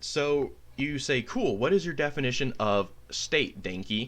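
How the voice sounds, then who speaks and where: A man's bright, sharp voice with very wide pitch swings and vocal fry. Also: quiet background. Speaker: political YouTuber. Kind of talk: response video monologue.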